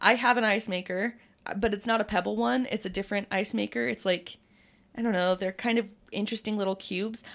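With an American accent, a woman talks at a fairly quick pace in a medium pitch, showing vocal fry and ordinary pitch variation on a very clean recording with a silent background. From Utah. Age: 20s. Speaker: radio DJ. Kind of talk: casual chat.

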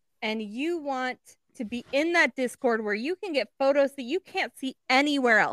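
A woman's high voice with lively intonation, dry and close with no echo. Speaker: podcast co-host. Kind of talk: promo pitch; casual chat. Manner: slow.

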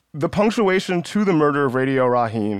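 A man's voice rises and falls in lively intonation, with only quiet in the background. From US South, Georgia. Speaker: podcast host. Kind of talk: interview.

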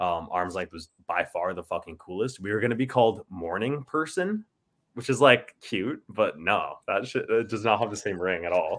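Lively intonation in an Ontario accent at a moderate pace, on a very clean recording with a silent background. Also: man, medium pitch for a man. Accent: Canadian (Ontario). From Ontario, Canada. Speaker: musician in a band. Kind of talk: casual chat.

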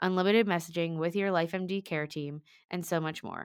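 The woman has a plain, everyday voice with a fairly low pitch. The recording is very clean, with a silent background. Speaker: podcast host. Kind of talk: casual interview chat.

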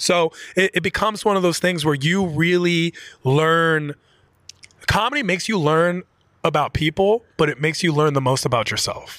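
At a moderate pace, a man with an American accent and a high pitch talks with ordinary pitch variation. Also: very even loudness. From Washington D.C. area. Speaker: comedian. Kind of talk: casual chat. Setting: studio.

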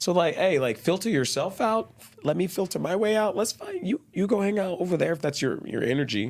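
A man with an American accent, high-pitched for a man, with lively intonation at a fairly quick pace over noticeable background noise. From Texas, Dallas. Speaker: community activist. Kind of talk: casual interview chat. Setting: studio.

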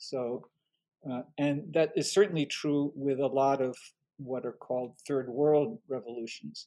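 Fairly high for a man, this voice has a dark, mellow tone, ordinary pitch variation and a fairly slow pace. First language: French. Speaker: history professor and author. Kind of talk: interview.

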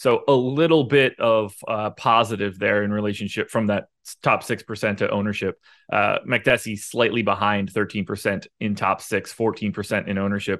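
A man's plain, everyday voice, fairly low in pitch, at a moderate pace with hardly any pauses and fairly even intonation, on a very clean recording with a silent background. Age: 30s. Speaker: MMA fantasy sports analyst. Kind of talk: casual chat.

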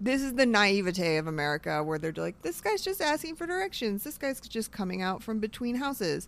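The speech moves at a fairly quick pace with very wide pitch swings. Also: woman, medium pitch for a woman. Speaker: podcaster. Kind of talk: casual chat. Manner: talkative.

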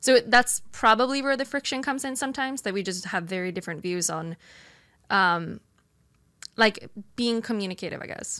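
A woman with a Swedish accent, fairly high in pitch with a bright, sharp tone and lively intonation, at a fairly quick pace with long, frequent pauses, on a very clean recording with a silent background. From Sweden. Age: 20s. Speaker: streamer. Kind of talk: casual debate interview.

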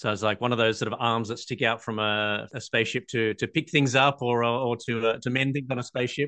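This man speaks in an Australian accent at a fairly quick pace, with hardly any pauses. His pitch is medium and his intonation fairly even. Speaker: podcast host, patent attorney. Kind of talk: interview.

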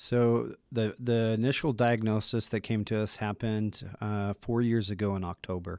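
A man with an American accent has a plain, everyday voice at fairly low pitch, speaking at a moderate pace with fairly even intonation and hardly any pauses, in a very clean recording with a silent background. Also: dry, close sound with no echo. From Utah. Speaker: clinical therapist. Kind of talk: interview testimony.

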